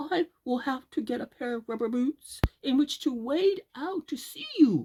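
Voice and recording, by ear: In a put-on character voice, a woman speaks at a fairly slow pace with lively intonation and a high pitch. Her tone is dark and mellow with a slightly husky edge, and the sound is dry and close with no echo.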